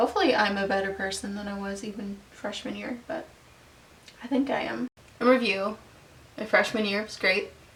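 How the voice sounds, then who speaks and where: Female speech at a moderate pace, against noticeable background noise. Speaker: vlogger and opera student. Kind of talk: casual vlog monologue. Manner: casual, with many fillers.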